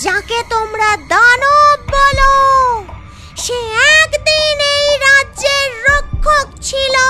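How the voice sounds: A cartoonish character voice speaks at a very slow pace. Clear music plays in the background. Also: female-sounding voice, extremely high pitch for a woman.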